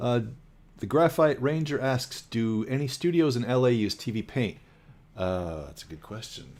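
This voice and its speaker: Using an ordinary speaking voice at medium pitch, a man talks at a moderate pace with lively intonation and big swings in loudness, captured on a very clean recording with a silent background. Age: 60s. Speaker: animator. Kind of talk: casual chat.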